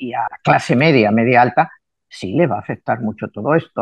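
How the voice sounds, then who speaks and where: With an unremarkable speaking voice, a man talks at a moderate pace with lively intonation. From Spain. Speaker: numerologist. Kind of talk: interview. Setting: video call.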